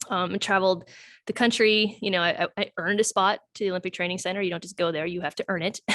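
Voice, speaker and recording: A woman talking very fast at a medium pitch, dry and close with no echo, over a quiet background. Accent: strong Wisconsin. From US Midwest, Wisconsin (Sheboygan, Elkhart Lake). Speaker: doctor. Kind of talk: casual chat. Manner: animated.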